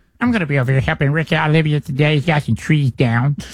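A man rattles along at a very fast pace in a put-on character voice. His pitch sits fairly high. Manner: puppeteer-style voice.

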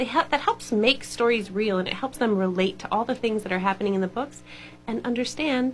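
An unforced reading voice, its pitch shifting in an ordinary way

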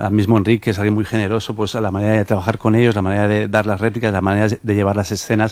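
A man talks at a very fast pace with a fairly low pitch. His tone is slightly mellow, with little pitch movement.

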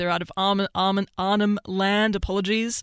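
She has a fairly bright, clear, smooth tone.

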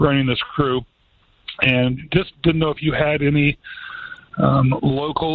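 Talking at a fairly quick pace, a man has a slightly husky edge and little pitch movement.

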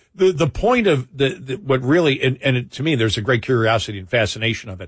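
Someone talks at a fast pace with an American accent and a slightly husky edge. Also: man, medium pitch for a man, ordinary pitch variation.

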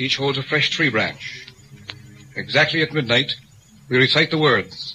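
Over faint music in the background, a man puts on a character voice with a bright, sharp tone, a slightly husky edge, medium pitch, ordinary pitch variation and a fairly slow pace.

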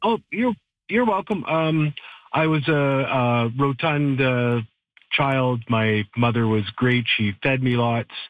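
At a slow pace, a man talks at a medium pitch with ordinary pitch variation.

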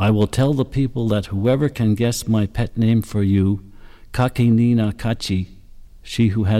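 Someone is reading aloud in a natural voice.

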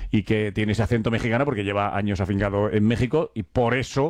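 A man with a fairly low pitch talks at a fast pace with fairly even intonation.

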